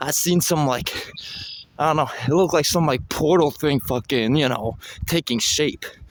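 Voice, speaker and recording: Against noticeable background noise, a man with a fairly high pitch talks at a moderate pace with ordinary pitch variation. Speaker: vlogger. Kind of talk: casual monologue. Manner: halting.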